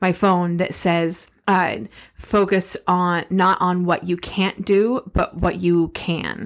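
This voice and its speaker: A woman speaks with monotone, flat intonation. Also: very clean recording, silent background. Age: 40s. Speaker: podcast co-host. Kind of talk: casual chat.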